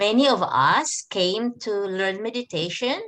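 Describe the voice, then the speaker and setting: Ordinary pitch variation marks a woman's voice with a bright, sharp tone. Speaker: spiritual teacher. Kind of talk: lecture with consecutive interpretation. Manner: deliberately slow.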